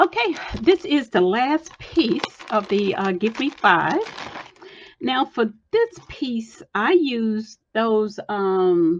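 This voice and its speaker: Somewhat breathy, a woman talks at a very slow pace. Her fairly high pitch moves in very wide swings. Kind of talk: casual tutorial show-and-tell. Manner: halting, many fillers and restarts.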